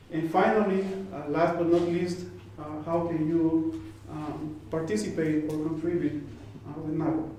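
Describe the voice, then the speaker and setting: Amid noticeable background noise and audible room echo, a man talks at a fairly slow pace, his fairly high pitch showing ordinary variation. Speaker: plant protection official. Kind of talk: conference presentation. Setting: conference stage with audience. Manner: halting with many fillers.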